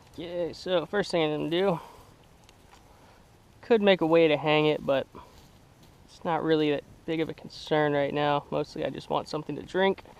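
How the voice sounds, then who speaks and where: A man mumbles at a moderate pace with a fairly high pitch, fairly even intonation, big swings in loudness and long, frequent pauses. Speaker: bushcraft hobbyist. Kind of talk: casual talk to camera. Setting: outdoors. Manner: mumbling, stammering, camera-shy.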